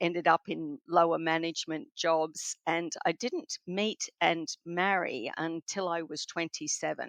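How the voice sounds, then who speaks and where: A woman with an Australian accent speaks fairly slowly. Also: dry, close sound with no echo, quiet background. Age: 60s. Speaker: spiritual counselor and author. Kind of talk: interview.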